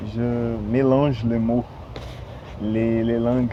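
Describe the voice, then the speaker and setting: Noticeable background noise behind a man's voice of medium pitch. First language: Portuguese (speaking French). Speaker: language learner vlogger. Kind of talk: casual vlog. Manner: halting, many hesitations.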